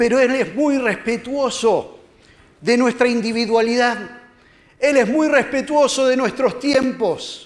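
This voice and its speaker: An extremely high-pitched man with a Rioplatense accent, very slow, with fairly even intonation and very even loudness. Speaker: lay preacher. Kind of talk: sermon. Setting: church.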